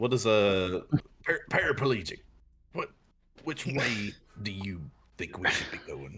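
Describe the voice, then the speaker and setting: This put-on character voice is raspy and fairly slow, broken by long, frequent pauses. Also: man, fairly low pitch for a man. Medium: actual play.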